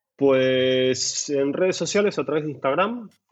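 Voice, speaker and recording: This man has an Argentine accent and lively intonation. He speaks at a fairly slow pace. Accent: noticeable Argentine (Rioplatense). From Buenos Aires, Argentina. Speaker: lighting designer. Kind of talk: casual interview. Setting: at home. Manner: halting, many repetitions and fillers.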